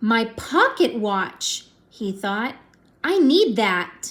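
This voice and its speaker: A woman uses a put-on character voice at a fairly high pitch. She speaks at a very slow pace. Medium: read story.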